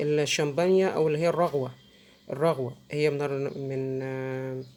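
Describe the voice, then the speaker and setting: With an Egyptian accent, a woman speaks at a fairly slow pace in a very deep, low pitch. Her tone is dark and mellow, her intonation fairly even. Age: middle-aged. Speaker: soap-making tutorial creator. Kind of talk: tutorial. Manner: halting, many fillers.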